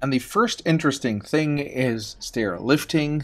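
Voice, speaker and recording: Noticeable background noise sits behind a man whose voice sounds dry, with no echo. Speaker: tech reviewer. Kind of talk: casual vlog commentary. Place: hall. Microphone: phone near.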